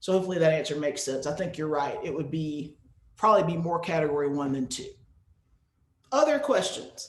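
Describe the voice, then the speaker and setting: In a room with audible echo, a man with an American accent and a fairly high pitch talks at a fairly quick pace, breaking often into long pauses. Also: ordinary pitch variation. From US, North Carolina. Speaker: music educator, presenter. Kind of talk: webinar presentation with Q&A.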